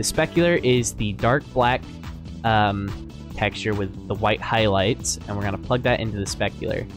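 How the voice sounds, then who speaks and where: A man with a fairly low pitch speaks at a moderate pace with very wide pitch swings while music plays in the background. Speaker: 3D model ripping tutorial maker. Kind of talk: software tutorial narration. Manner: stuttering, hesitant.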